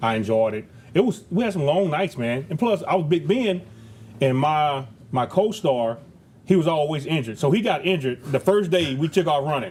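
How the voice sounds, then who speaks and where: A man talks at a fairly quick pace with a fairly high pitch and a slight Southern US accent. His tone is animated and his intonation lively. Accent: slight Southern country twang. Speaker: retired football player. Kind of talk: casual interview chat. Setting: cigar lounge.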